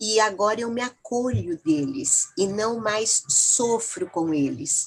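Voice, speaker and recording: The woman's voice has a fairly high pitch. Her pitch swings very widely. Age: 70s. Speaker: family therapist and book chapter author. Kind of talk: interview. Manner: reflective, with hesitations.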